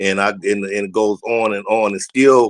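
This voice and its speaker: An unremarkable speaking voice with an American accent and fairly even intonation comes through a dry, close sound with no echo. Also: man. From Southeast San Diego, California. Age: 60s. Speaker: former NFL player and high school football coach. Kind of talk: casual talk show chat.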